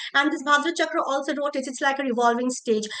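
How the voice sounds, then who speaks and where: A woman's raised, projected voice, high in pitch and bright and sharp in tone, with ordinary pitch variation. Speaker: seminar speaker on Manipuri performance traditions. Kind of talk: academic presentation. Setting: online seminar.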